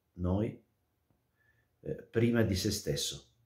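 A man speaks very slowly in a dark, mellow, somewhat breathy tone with ordinary pitch variation. Audible room echo surrounds the voice. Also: quiet background. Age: 40s. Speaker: priest; religious commentator. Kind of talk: gospel commentary; casual chat. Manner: hesitant, with fillers. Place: home room. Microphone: webcam.

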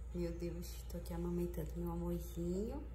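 A woman's very deep, low voice in a weary tone, monotone and flat, with audible room echo and light background noise. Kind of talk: casual vlog chat. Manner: worn-out, weary post-labor voice. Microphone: phone near.

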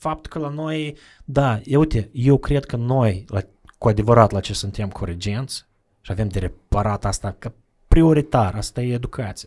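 The background is quiet as a man talks. He moves at a moderate pace with ordinary pitch variation. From Moldova, Bălți; Moldova. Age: 30s. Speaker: charity representative; podcast guest. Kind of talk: casual interview. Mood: calm, reflective. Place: studio. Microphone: studio mic.

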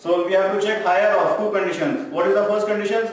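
Strong room echo surrounds the recording. A man talks with ordinary pitch variation. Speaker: tax tutor. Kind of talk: tutorial. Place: classroom. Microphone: camera far.

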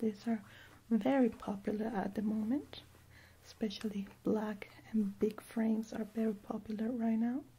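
A somewhat breathy, monotone delivery with flat intonation and a fairly slow pace. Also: woman. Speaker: optician role-play host. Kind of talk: soft-spoken product role-play.

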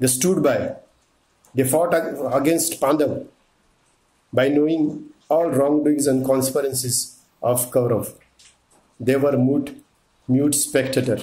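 A somewhat breathy man with a fairly high pitch and a dark, mellow tone speaks at a fairly slow pace, with long, frequent pauses, fairly even intonation and very even loudness. Room echo is audible. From India. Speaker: motivational speaker. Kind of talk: storytelling monologue. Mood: serious, reflective. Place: street. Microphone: phone near.

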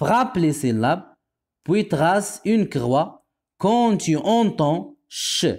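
A high-pitched man with a Moroccan accent, very slow, with very wide pitch swings and very even loudness, on a very clean recording with a silent background. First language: Moroccan Arabic (speaking French). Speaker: primary school French teacher. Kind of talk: tutorial. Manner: slow, repetitive enunciation.

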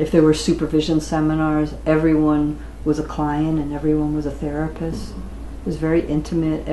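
A woman talks at a moderate pace, with audible room echo and light background noise. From United States. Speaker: interviewee. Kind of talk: oral-history interview. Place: home room.

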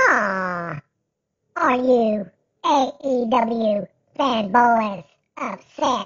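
Using a put-on character voice, a man talks at an extremely high pitch and a very slow pace, leaving long, frequent pauses. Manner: mocking, taunting.

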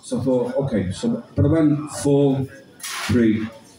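A man's voice comes through with audible room echo and a light layer of background noise. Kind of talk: poetry performance and storytelling. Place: bar. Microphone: camera far.

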